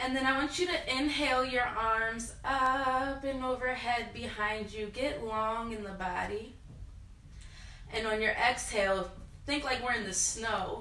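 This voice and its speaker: A loud, high-pitched woman speaks at a fairly slow pace with ordinary pitch variation. Audible room echo and noticeable background noise are present. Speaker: yoga instructor. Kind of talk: guided yoga class.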